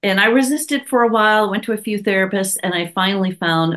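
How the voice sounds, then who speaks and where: A woman talks at a fairly quick pace with lively intonation and a medium pitch. It is a normal speaking voice. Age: 60s. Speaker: herbalist and psychotherapist. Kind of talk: casual interview chat.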